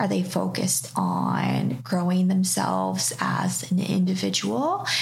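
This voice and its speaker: A woman talks at a very slow pace against noticeable background noise. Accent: Canadian. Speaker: reiki practitioner and tarot reader. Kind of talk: casual chat. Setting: her studio space.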